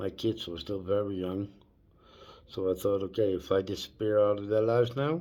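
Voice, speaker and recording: Recorded very cleanly against a silent background, a man with a Dutch accent speaks at a moderate pace in a fairly low pitch with a dark, mellow tone. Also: ordinary pitch variation. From Netherlands. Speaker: vlogger. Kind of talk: personal storytelling vlog. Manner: halting.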